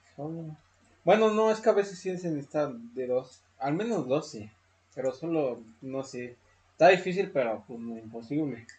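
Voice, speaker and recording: Speaking at a fairly slow pace with a Mexican accent, a man has a fairly high pitch and a somewhat breathy voice. His intonation is lively and his loudness swings widely. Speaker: podcast host. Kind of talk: casual chat.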